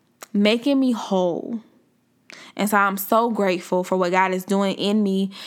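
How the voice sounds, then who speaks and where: In a very clean recording with a silent background, a woman speaks at a moderate pace in an animated tone at medium pitch. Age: 20s. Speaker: podcast host. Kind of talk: casual faith-based monologue.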